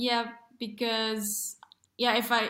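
A woman's bright, sharp voice, fairly high in pitch, moves at a fairly slow pace amid audible room echo. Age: 20s. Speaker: comedian. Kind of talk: casual chat.

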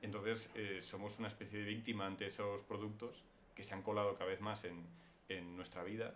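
A man talks at a fairly quick pace with fairly low pitch and monotone, flat intonation. Audible room echo surrounds his voice. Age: 20s. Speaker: screenwriter. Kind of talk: interview.

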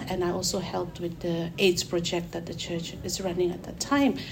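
A fairly low-pitched woman's voice with audible room echo and noticeable background noise. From Mizoram, northeast India. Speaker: church worker about to be ordained minister. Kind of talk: interview. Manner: halting.

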